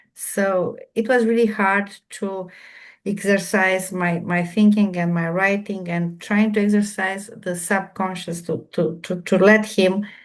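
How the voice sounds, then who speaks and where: A woman with a Romanian accent at a fairly slow pace, over a quiet background. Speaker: remote viewer. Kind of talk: online group Q&A discussion. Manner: halting, repeating words.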